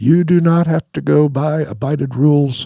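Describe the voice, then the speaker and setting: Dry and close with no echo, a man's voice sounds dark, mellow and somewhat breathy. He speaks at a fairly high pitch with lively intonation. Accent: American. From Missouri. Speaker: retired fighter pilot. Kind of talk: storytelling interview. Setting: studio.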